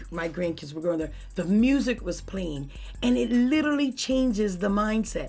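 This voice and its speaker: With an American accent, a woman speaks at a moderate pace at medium pitch, making very wide pitch swings amid audible room echo. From Pittsburgh, Pennsylvania (Garfield). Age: 60s. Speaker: church first lady and community organizer. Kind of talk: interview.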